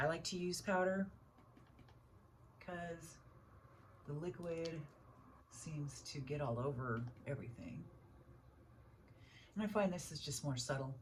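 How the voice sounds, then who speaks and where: A woman speaks with a very deep, low pitch and lively intonation. Long, frequent pauses come through over noticeable background noise. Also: fairly slow pace. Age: 60s. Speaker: beauty vlogger. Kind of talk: casual makeup tutorial talk to camera.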